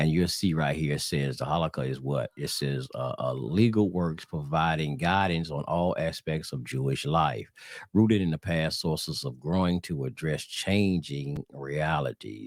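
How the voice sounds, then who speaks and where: Very deep and low in pitch, a man speaks at a moderate pace with ordinary pitch variation and hardly any pauses on a very clean recording with a silent background. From US South. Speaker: religious teacher. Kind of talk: religious teaching video. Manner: casual, halting with fillers.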